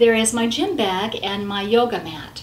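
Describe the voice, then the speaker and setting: There's audible room echo and noticeable background noise. Through it, a woman speaks at a fairly high pitch. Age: 60s. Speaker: grandmother and wellness coach. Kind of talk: casual chat. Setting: at home.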